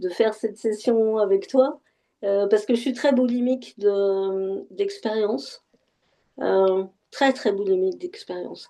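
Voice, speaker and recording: A woman's dark, mellow tone at a very slow pace, with ordinary pitch variation. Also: fairly high pitch for a woman. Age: 60s. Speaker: session participant giving testimony. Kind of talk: casual conversation. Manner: halting, many repetitions and fillers.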